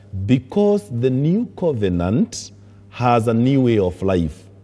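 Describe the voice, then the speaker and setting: A man talks at a medium pitch. His tone is dark and mellow. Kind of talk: sermon. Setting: church. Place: church.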